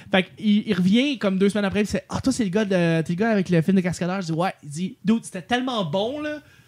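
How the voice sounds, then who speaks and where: The delivery has a fairly quick pace and ordinary pitch variation. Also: man, high pitch for a man. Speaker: podcast host. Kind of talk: casual chat.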